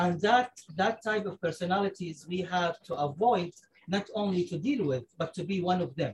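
A high-pitched man's voice with an Arabic accent and ordinary pitch variation. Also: moderate pace. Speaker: engineer and space researcher. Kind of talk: casual chat. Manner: halting.

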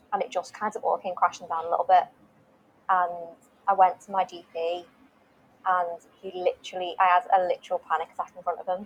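The woman talks fairly quickly in a flat, monotone way. Her loudness swings widely, and she leaves long, frequent pauses. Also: medium pitch for a woman. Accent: British. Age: 20s. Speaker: wellness page creator sharing mental health story. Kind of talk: personal testimony in interview. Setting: video call.

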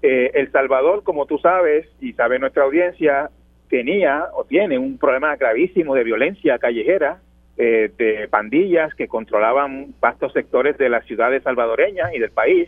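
An ordinary speaking voice from a man, fairly high-pitched, with lively intonation at a moderate pace. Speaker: journalist and columnist. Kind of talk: radio interview.

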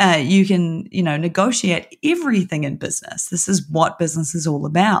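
In a very clean recording with a silent background, a woman with a New Zealand accent speaks fairly quickly at a medium pitch, sounding somewhat breathy. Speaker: design studio owner. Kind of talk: interview conversation.

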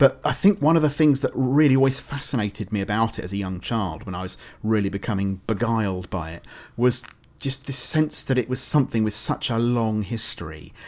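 Speaking fairly quickly with lively intonation, a man with a British accent uses a medium pitch on a very clean recording with a silent background. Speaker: writer and radio producer. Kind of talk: interview.

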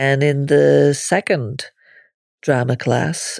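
Heard in a dry, close sound with no echo, a woman with a Northern Irish accent has a very deep, low pitch and a dark, mellow tone. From Northern Ireland. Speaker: podcaster. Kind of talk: personal memoir monologue.

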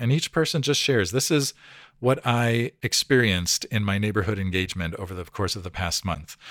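A man with an unremarkable speaking voice talks at a fairly quick pace with lively intonation, recorded with a dry, close sound and no echo. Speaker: pastor and church consultant. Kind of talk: interview. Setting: remote interview.

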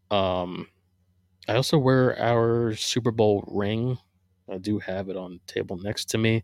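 In a very clean recording with a silent background, a man with an American accent and an unremarkable speaking voice talks fairly slowly at medium pitch with fairly even intonation. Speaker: podcast host, Eagles fan. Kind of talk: casual solo podcast, sports talk. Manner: casual, rambling, self-deprecating.

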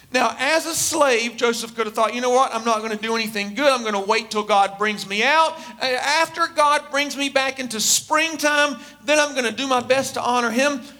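Raised and projected, a man's extremely high-pitched voice keeps a moderate pace and ordinary pitch variation. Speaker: preacher. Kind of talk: sermon. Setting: church.

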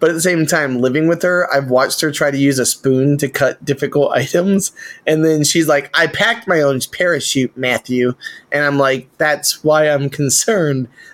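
Here is an unremarkable speaking voice at a moderate pace. It has ordinary pitch variation and very even loudness. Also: man, fairly high pitch for a man. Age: 30s. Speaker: podcast co-host. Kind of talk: casual chat.

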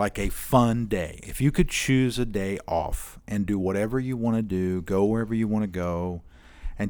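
Over a very clean recording with a silent background, a man speaks in a normal speaking voice at a fairly low pitch and moderate pace. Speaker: podcast host. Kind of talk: interview. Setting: church.

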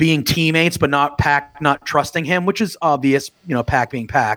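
A man with fairly high pitch and an unremarkable speaking voice speaks at a moderate pace. The recording is very clean, with a silent background and a dry, close sound with no echo. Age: 30s. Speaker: wrestling podcaster. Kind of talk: casual chat.

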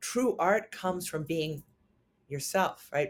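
At a fairly slow pace, a woman with a New York accent speaks with ordinary pitch variation. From New York City. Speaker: singer-songwriter. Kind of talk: interview. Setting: remote interview from New York City.

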